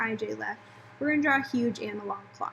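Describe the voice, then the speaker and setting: A woman talks at a fairly quick pace. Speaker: elementary school teacher. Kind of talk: online lesson for pupils. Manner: casual, filler-heavy.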